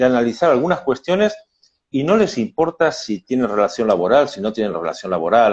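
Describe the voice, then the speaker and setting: Speaking at a moderate pace, a man with a fairly high pitch uses very wide pitch swings and vocal fry. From Spain, Madrid. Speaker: labor lawyer. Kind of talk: casual chat. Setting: video call. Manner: halting.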